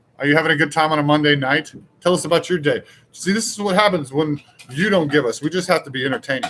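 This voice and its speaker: Pitched fairly high, a man's voice rushes along at a very fast pace. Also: ordinary pitch variation. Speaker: live show host. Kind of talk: casual live stream chat. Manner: loud.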